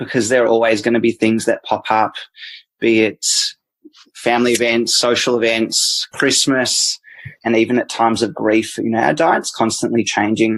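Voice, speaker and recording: Someone with an Australian accent speaks at a moderate pace with fairly even intonation, the sound dry and close with no echo. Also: man, medium pitch for a man. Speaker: dietitian. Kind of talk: interview answer.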